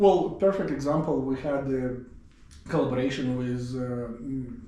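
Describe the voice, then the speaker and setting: A man at medium pitch with an Eastern European accent, moderate pace and ordinary pitch variation, with noticeable background noise and audible room echo. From Siberia, Russia. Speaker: professor and department chair. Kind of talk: casual interview.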